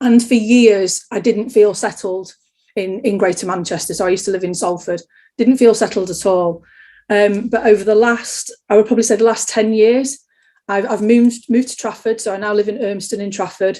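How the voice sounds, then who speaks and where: With a Sheffield accent, a woman speaks at a fairly quick pace and fairly high pitch, her tone dark and mellow and her intonation fairly even, over a quiet background. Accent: Yorkshire (Sheffield) English. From Yorkshire, Sheffield. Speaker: interviewee. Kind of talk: casual interview.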